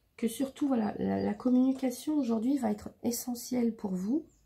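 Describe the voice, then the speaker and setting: A woman's somewhat breathy, dark and mellow voice at a fairly slow pace, with ordinary pitch variation. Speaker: tarot reader. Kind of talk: tarot reading. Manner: halting, many fillers.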